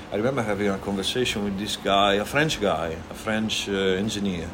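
A man with an Italian accent talks at a moderate pace with a fairly low pitch. Noticeable background noise and audible room echo are present. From Italy, Emilia-Romagna. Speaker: restaurant owner. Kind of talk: casual chat. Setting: restaurant.

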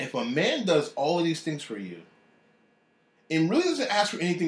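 Vocal fry runs through the fairly high-pitched voice of this man. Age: 30s. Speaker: executive chef. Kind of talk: interview.

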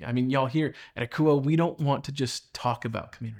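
This man speaks fairly quickly in a plain, everyday voice, and his pitch varies in an ordinary way. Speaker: pastor. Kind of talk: sermon; fervent prayer, spoken aloud to Jesus. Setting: church. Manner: earnest, pleading, repeating phrases.

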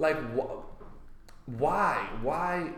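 A man talks with lively intonation. There is audible room echo and noticeable background noise. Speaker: stand-up comedian. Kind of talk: casual chat.

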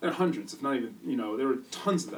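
A man with an American accent. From US Midwest. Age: 30s. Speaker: music producer. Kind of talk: casual interview chat.

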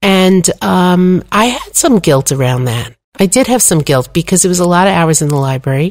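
With an unremarkable speaking voice, a woman talks at a moderate pace and fairly low pitch, with lively intonation and hardly any pauses. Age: 60s. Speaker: Torah teacher and author. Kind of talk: interview conversation.

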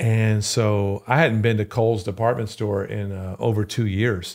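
In a very clean recording with a silent background, the speaker talks at a fairly slow pace with a Louisiana accent. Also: man. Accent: Louisiana Southern US. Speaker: pastor. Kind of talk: podcast interview.

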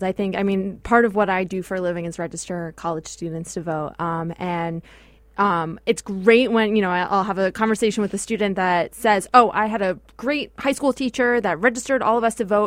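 On a very clean recording with a silent background, a woman with an American accent talks at a fairly quick pace with hardly any pauses, in an ordinary speaking voice of medium pitch and ordinary pitch variation. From New York. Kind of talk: casual chat.

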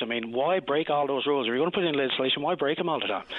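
A man with a Newfoundland accent, ordinary pitch variation and noticeable background noise. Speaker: provincial opposition politician. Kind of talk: radio interview. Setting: phone call.

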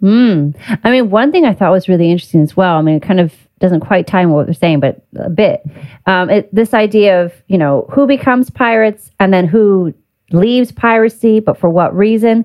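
Here is a woman with an unremarkable speaking voice at a medium pitch. She moves at a fairly quick pace with lively intonation. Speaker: podcast host. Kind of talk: casual interview chat.

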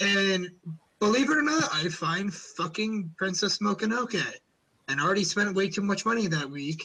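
With an American accent, a man projects a raised voice that is high in pitch. He keeps a moderate pace, lively intonation and very even loudness. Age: young. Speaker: podcast host. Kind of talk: casual chat.

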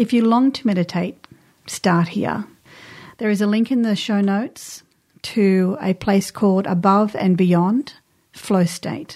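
A woman's dark, mellow voice with an Australian accent, fairly slow, with ordinary pitch variation, on a very clean recording with a silent background. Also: medium pitch for a woman, very even loudness. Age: 50s. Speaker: podcast host, women's cycle coach. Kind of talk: casual chat. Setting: studio.

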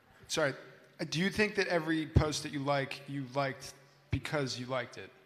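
The speaker has an American accent, with big swings in loudness and long, frequent pauses. Audible room echo surrounds the voice. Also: man, fairly high pitch for a man, ordinary pitch variation, fairly quick pace. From US West Coast, Los Angeles. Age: young. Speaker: university student. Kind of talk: panel discussion. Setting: stage with audience.

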